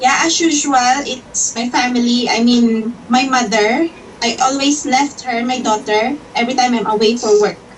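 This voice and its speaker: Delivered at a moderate pace with fairly even intonation, the speech has noticeable background noise behind it. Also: woman, high pitch for a woman. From Philippines, Iloilo City. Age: 30s. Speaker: domestic helper job applicant. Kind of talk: job interview.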